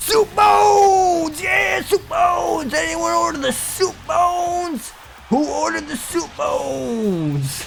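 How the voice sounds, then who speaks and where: At a fairly slow pace, a hoarse, strained put-on character voice comes through clear background noise. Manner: loud shouting.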